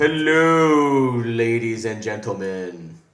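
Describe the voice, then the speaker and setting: At a very slow pace, the speaker puts on a character voice. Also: man, medium pitch for a man. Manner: mimicked, borrowed voice.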